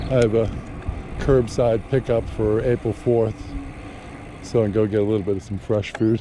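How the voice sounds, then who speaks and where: Over noticeable background noise, a man with a medium-pitched voice speaks in a flat monotone, leaving long, frequent pauses. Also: moderate pace. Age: 60s. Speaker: vlogger. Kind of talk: casual vlog narration while riding. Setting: outdoors on an e-bike.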